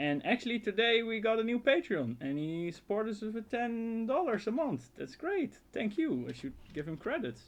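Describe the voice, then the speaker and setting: With a Dutch accent, a man speaks at a moderate pace with hardly any pauses. His voice sits high and swings very widely in pitch. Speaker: outdoor survival youtuber. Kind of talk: casual live stream Q&A. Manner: halting, repeats words.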